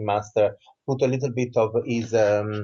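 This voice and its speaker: Somewhat breathy, a man speaks with an Italian accent. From southern Italy. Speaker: author and Reiki teacher. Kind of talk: interview.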